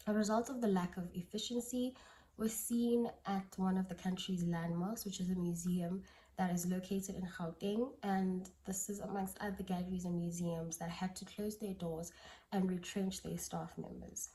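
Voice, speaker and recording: Fairly even intonation from a somewhat breathy woman at medium pitch and moderate pace. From South Africa. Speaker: anthropologist. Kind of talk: conference presentation. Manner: halting.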